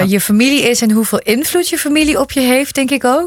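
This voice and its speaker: Noticeable background noise accompanies a fairly quick delivery that shows ordinary pitch variation. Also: woman. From Netherlands. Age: young. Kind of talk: interview.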